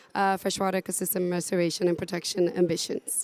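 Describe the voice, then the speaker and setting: This woman's medium-pitched voice stays monotone, with flat intonation. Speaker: conservation NGO staff. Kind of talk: panel discussion.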